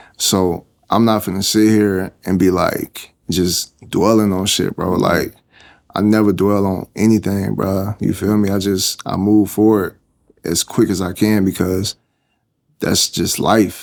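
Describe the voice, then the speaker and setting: A man with a fairly low pitch talks fairly slowly in monotone, flat intonation. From Tampa, Florida. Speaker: music producer and artist. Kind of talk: interview answer. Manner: casual, conversational.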